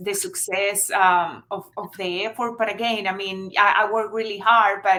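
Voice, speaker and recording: A woman at a medium pitch, with a Venezuelan accent and a bright, sharp tone, speaks at a moderate pace in a monotone, flat intonation. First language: Spanish. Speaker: marketing agency founder. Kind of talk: interview. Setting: live video stream. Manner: halting.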